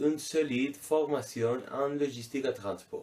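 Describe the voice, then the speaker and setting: A man with a fairly high voice talks at a very slow pace. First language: Spanish or Catalan (speaking French). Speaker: vocational student. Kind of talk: video CV presentation.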